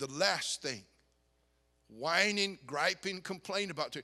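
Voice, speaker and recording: Using a raised, projected voice, a man speaks with a bright, sharp tone and very wide pitch swings. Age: 60s. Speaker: pastor. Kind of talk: sermon. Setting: church youth conference. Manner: animated.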